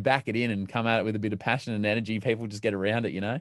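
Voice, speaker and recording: In a quiet setting, a man with an Australian accent talks very fast at medium pitch with fairly even intonation. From Melbourne, Australia. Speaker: radio broadcaster and podcaster. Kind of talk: casual interview chat.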